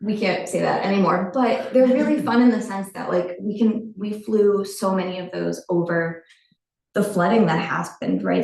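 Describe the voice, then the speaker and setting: A woman talks at a moderate pace, her voice showing vocal fry. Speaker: research professor and lab director. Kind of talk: lecture.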